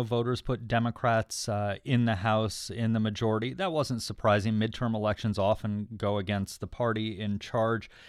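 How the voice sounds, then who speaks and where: A normal speaking voice from a man at medium pitch, fairly quick in pace with hardly any pauses. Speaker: radio host. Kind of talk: radio news interview.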